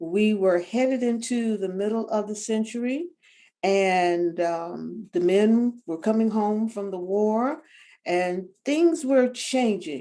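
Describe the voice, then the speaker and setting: Speaking in a Southern US accent, a woman has a fairly high pitch and a dark, mellow tone. Her pace is very slow and her intonation lively. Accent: Southern American. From US South, Tampa, Florida. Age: 70s. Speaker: retired attorney and journalist. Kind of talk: interview. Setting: video call.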